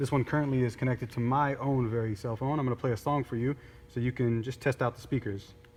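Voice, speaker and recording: A man's medium-pitched voice at a very fast pace, fairly even intonation, noticeable background noise. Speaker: product demonstrator. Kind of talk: tutorial. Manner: loud; casual.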